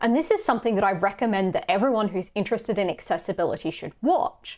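A woman speaks in an Australian accent with very wide pitch swings. The background is quiet. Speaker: conference speaker on accessibility. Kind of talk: recorded conference talk. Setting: pre-recorded video for an online conference. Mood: engaged, mildly exasperated. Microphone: webcam.

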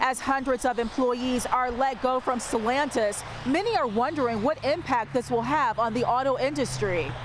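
A woman talks at a high pitch and moderate pace, with hardly any pauses, very even loudness and ordinary pitch variation. The sound is dry with no echo, though there is noticeable background noise. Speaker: TV news reporter. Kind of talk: news report. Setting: on location. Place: street. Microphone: handheld.

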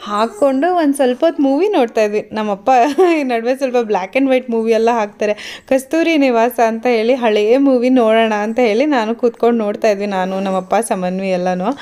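Her tone cheerful yet dark and mellow, a woman speaks with ordinary pitch variation. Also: fairly high pitch for a woman. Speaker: vlogger. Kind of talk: voice-over vlog narration. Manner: cheerful, smiling.

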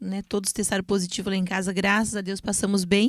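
Against a quiet background and with a dry sound with no echo, a woman with a normal speaking voice talks at a fairly quick pace and medium pitch. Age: 40s. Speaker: guest. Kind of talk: casual chat. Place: studio. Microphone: handheld.

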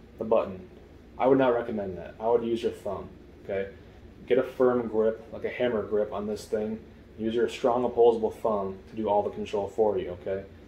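A man speaks at a fairly quick pace in a somewhat breathy voice with fairly even intonation, with audible room echo and light background noise. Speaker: product reviewer. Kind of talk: tutorial. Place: home room.

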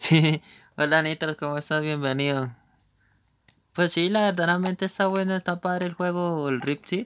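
At a moderate pace broken by long, frequent pauses, a high-pitched man speaks with fairly even intonation, the sound dry and close with no echo in a very clean recording with a silent background. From Colombia. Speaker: gaming streamer. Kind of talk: live gameplay commentary. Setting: live stream.

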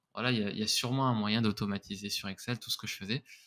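Over noticeable background noise, a man at medium pitch speaks at a moderate pace in a monotone, flat intonation. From France, Grenoble area; France. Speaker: content creator; podcast guest, content creator. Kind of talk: interview. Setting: remote recording. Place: home room. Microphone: studio mic.

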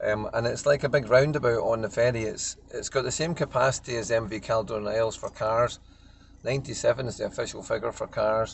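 The man's voice sounds dry, with no echo, against light background noise. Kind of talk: casual vlog chat. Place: car. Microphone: phone near.

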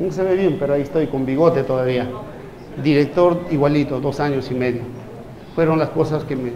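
Amid noticeable background noise and audible room echo, a man with a fairly high pitch talks at a fairly quick pace with fairly even intonation and long, frequent pauses. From Peru. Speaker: physician. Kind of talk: lecture.

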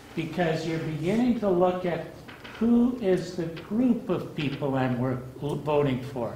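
Through light background noise and audible room echo, a man speaks at a high pitch with lively intonation and a fairly slow pace. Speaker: audience member. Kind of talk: audience comment. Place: meeting room. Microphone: camera far.

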